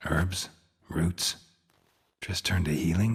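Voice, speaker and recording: In a put-on character voice, a man speaks at a fairly slow pace with very deep, low pitch. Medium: video game. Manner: terse, deadpan.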